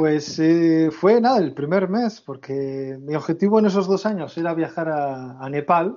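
A man's voice with ordinary pitch variation. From Basque Country, Spain. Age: 30s. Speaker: long-term traveller. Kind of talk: casual interview chat. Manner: halting, repeats words.

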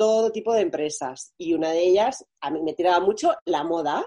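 A woman speaks at a moderate pace with lively intonation. Her tone is dark and mellow. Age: 30s. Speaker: fashion brand founder. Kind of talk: interview.

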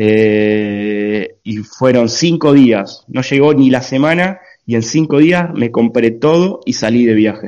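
With an Argentine accent, a man speaks at a very slow pace with lively intonation. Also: medium pitch for a man, hardly any pauses. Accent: Argentine Spanish (Rioplatense). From Argentina. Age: 20s. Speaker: long-distance cycle traveller. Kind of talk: interview. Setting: video call.

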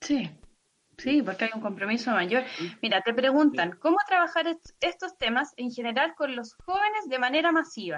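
At a moderate pace, a woman speaks in a high voice with very wide pitch swings. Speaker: podcast host. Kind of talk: interview. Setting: live stream video call.

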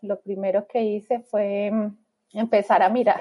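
A woman with an ordinary speaking voice and a fairly high pitch talks at a fairly slow pace with ordinary pitch variation. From Colombia, Bogotá. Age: 30s. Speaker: immigrant mother. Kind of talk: interview.

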